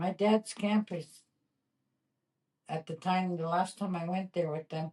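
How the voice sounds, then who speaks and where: A woman speaks fairly slowly in a dark, mellow, somewhat breathy voice. Her intonation is monotone and flat. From northern Ontario, Canada. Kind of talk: interview.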